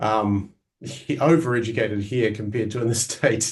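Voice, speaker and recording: There is a quiet background as a man with a New Zealand accent talks at a moderate pace. His medium pitch carries fairly even intonation. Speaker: Greek language scholar and teacher. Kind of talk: interview. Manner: halting, many fillers.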